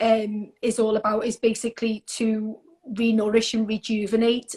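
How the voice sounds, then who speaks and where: With a Liverpool accent, a woman speaks fairly slowly at a fairly high pitch, somewhat breathy, in a dry, close sound with no echo. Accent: Scouse. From Liverpool, northern England. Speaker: skincare brand representative. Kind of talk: casual interview.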